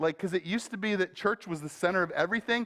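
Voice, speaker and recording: With lively intonation and a high pitch, a man speaks on a very clean recording with a silent background. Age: 40s. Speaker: pastor. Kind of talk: sermon. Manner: casual, conversational.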